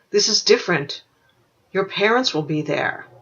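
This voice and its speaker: The pitch sits fairly high. It is a put-on character voice. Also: moderate pace. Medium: read story. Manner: gentle, warm.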